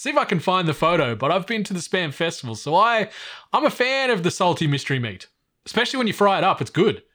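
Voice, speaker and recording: A man with an Australian accent speaks at a very fast pace in a high pitch with a bright, sharp tone and very wide pitch swings, on a very clean recording with a silent background. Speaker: podcast host. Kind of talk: casual chat. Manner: animated.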